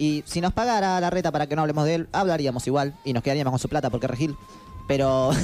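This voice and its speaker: A man's fairly high voice in a Rioplatense accent, very fast, with ordinary pitch variation and very even loudness. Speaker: podcast co-host. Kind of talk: casual chat. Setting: studio. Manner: animated.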